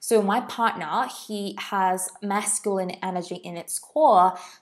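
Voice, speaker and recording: This woman's voice sits at a medium pitch, with ordinary pitch variation. She talks at a fairly slow pace on a very clean recording with a silent background. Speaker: podcast host and business mentor. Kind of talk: solo podcast monologue. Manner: casual, rambling.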